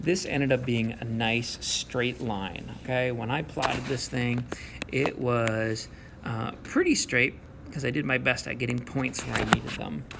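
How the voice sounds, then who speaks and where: Noticeable background noise sits under a man talking at a medium pitch. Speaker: math teacher. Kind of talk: recorded video lesson. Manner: fast; casual, encouraging.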